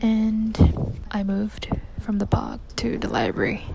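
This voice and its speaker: Noticeable background noise is present. Under it, a woman whispers. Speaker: vlogger and aspiring poet. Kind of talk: casual vlog monologue. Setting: library; at home. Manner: whispering in library.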